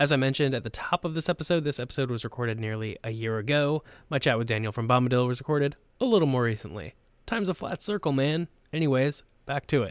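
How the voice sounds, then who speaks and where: On a very clean recording with a silent background, a man with an American accent talks very fast at a medium pitch with ordinary pitch variation. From US, North Carolina. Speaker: podcast host. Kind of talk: casual interview chat; scripted narration.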